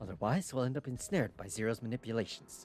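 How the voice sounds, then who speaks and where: Putting on a squeaky character voice, a man speaks at a very fast pace with lively intonation and a medium pitch as music plays in the background. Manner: high falsetto.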